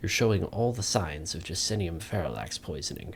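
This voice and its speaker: A man does a put-on character voice with a very deep, low pitch, sounding strained and moving at a fairly quick pace. His intonation is lively, and there is clear background noise. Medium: read story.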